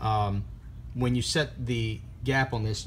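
A man with a somewhat breathy voice speaks in fairly even intonation over light background noise. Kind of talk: tutorial. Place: workshop. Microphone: phone near.

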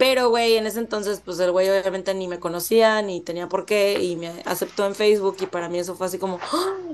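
Talking at a fairly quick pace with hardly any pauses, a woman keeps a fairly even intonation. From northern Mexico, Monterrey; northern Mexico. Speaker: actress; interview guest, actress. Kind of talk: interview. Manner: casual, slangy. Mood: casual, candid, slangy. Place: home room. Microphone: video call.

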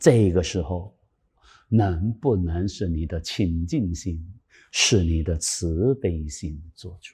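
A man speaks at a very slow pace in a very deep, low pitch with ordinary pitch variation. His somewhat breathy voice has a dark, mellow tone and big swings in loudness. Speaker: Buddhist dharma teacher. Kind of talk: sutra lecture. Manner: animated. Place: studio. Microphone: lapel.

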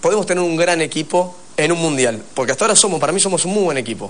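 Pitched fairly high, a man talks at a very fast pace with ordinary pitch variation. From Argentina. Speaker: rugby player; guest. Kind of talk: TV interview. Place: studio. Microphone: lapel.

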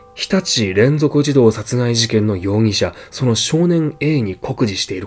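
Someone reads aloud in a natural voice.

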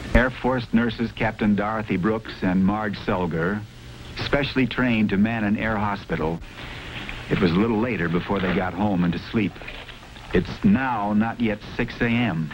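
Noticeable background noise sits under this recording. A man speaks at a fairly low pitch with ordinary pitch variation. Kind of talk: 1970s military documentary narration. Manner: solemn, formal, dramatic; measured, deliberate delivery.

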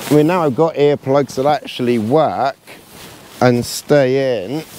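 The recording is dry with no echo as a man speaks with ordinary pitch variation. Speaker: outdoor camping vlogger. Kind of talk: casual vlog chat. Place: tent. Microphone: phone near.

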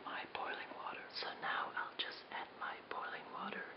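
The speaker whispers. The pace is fairly slow. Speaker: tea video host. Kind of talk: ASMR tea-making video, casual talk to camera. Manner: whispered. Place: home room.

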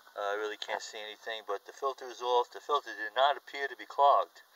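The speaker keeps a moderate pace. The sound is dry with no echo, and noticeable background noise comes through. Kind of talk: tutorial. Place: workshop. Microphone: phone near.

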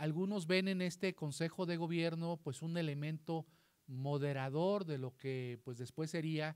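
His speaking pace is moderate. The intonation of this man holds fairly even. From northern Mexico, Coahuila. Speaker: constitutional law scholar; panelist. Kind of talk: panel talk; lecture. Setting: library event with audience. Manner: halting. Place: hall.

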